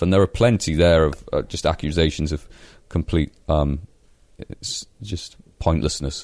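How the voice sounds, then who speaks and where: In a Yorkshire accent, a man speaks at a moderate pace with a dark, mellow tone. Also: quiet background. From northern England, Leeds. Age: 20s. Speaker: comedian. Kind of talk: casual chat.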